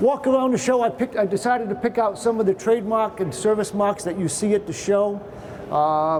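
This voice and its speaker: Over noticeable background noise, a man with a Boston accent talks at a very fast pace in a high pitch, with ordinary pitch variation. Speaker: patent attorney. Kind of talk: presentation to trade show audience. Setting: trade show presentation with audience. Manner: casual, conversational.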